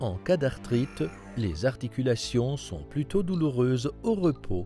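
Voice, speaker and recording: A man at a medium pitch and a very slow pace, music in the background. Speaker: voice-over narrator. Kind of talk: health information explainer narration.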